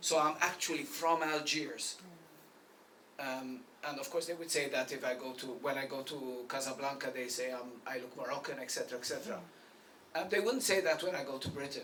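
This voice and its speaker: Talk moves at a fairly quick pace amid noticeable background noise and audible room echo. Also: man, fairly high pitch for a man, ordinary pitch variation. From Malta. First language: Maltese. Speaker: poet. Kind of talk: panel discussion at book launch.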